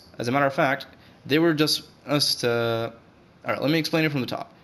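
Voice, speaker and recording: With ordinary pitch variation and a fairly quick pace, a man talks while noticeable background noise carries on. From Saudi Arabia. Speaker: gaming YouTuber. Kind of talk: casual commentary video. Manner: halting.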